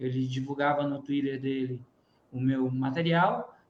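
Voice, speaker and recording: A man speaks at a fairly slow pace with a slight northeastern Brazilian accent. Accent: mild Northeast Brazilian. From Northeast Brazil. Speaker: physics teacher and YouTuber. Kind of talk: webinar panel discussion.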